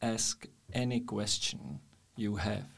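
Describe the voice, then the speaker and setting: This man's voice sits fairly low, with fairly even intonation and a Czech accent. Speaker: podcast host, businessman. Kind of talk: interview.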